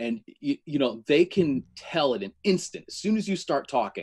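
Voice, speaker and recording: A man speaks at a moderate pace in a US Northeastern accent, his pitch swinging very widely. The sound is dry and close, with no echo. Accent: US Northeast. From Connecticut. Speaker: electrician and menswear reviewer. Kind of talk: casual chat.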